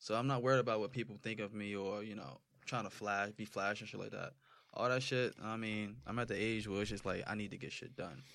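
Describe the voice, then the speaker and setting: With an American accent, a man talks at a fairly quick pace in an ordinary speaking voice, pitched fairly low. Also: ordinary pitch variation, very clean recording, silent background. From New Jersey, Roselle. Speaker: rapper. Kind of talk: casual chat.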